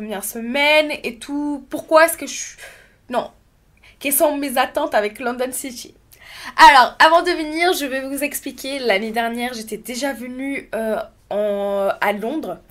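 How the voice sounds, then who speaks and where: The tone is animated, with ordinary pitch variation. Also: woman. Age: 20s. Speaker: content creator, podcaster. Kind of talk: casual podcast monologue.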